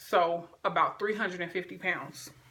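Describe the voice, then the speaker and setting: The speaker is a woman with an animated tone. She goes at a moderate pace. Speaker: video blogger. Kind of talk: casual vlog talk. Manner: loud.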